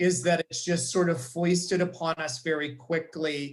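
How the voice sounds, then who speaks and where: Fairly high, somewhat breathy male voice at a fairly slow pace with fairly even intonation. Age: 60s. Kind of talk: webinar panel discussion. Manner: halting, many fillers.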